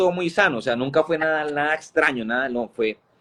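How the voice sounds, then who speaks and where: This man's medium-pitched voice races along at a very fast pace. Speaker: evangelist. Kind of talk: testimony.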